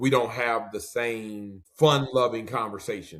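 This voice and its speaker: This is a normal speaking voice from a man with an American accent. He speaks fairly slowly at a medium pitch with ordinary pitch variation. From Detroit, US Midwest. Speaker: pastor. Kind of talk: interview.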